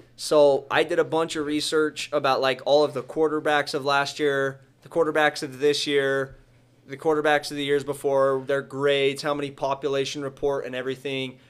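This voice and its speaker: The speech is monotone and flat, at a moderate pace. The recording is very clean, with a silent background. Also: man, fairly high pitch for a man. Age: 20s. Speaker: coin and card dealer. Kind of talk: casual interview.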